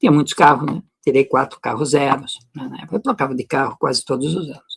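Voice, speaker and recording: Heard dry and close with no echo, a man with an unremarkable speaking voice talks fairly quickly at a fairly high pitch with lively intonation. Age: 60s. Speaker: natural medicine presenter. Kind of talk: personal testimony. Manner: casual, conversational.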